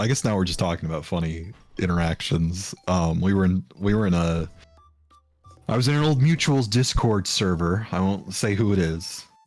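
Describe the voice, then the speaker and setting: With music playing in the background, a man's very deep, low voice moves along at a moderate pace. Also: ordinary pitch variation. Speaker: VTuber streamer. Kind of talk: casual chat. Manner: soft-spoken.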